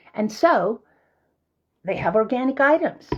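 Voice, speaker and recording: Intonation here is lively. The sound carries a somewhat breathy quality. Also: woman. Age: 70s. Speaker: herbal skincare maker. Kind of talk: tutorial. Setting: home kitchen. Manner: casual, unhurried.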